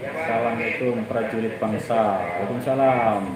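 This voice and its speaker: A man at medium pitch with ordinary pitch variation, at a very slow pace, amid audible room echo and noticeable background noise. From Cirebon, West Java, Indonesia. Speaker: marine soldier and live streamer. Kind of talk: live stream chat reading viewer comments. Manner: casual.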